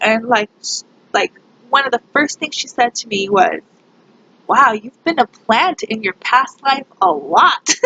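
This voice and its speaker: A woman talks at a fairly slow pace in a high pitch. The sound is dry and close, with no echo. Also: lively intonation. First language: Spanish. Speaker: pagan YouTuber. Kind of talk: casual vlog monologue. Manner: hesitant, many fillers.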